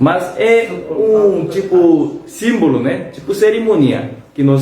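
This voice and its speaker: Music plays in the background and audible room echo surrounds a man's voice. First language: Korean (speaking Portuguese). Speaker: pastor. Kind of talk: bible study. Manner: halting.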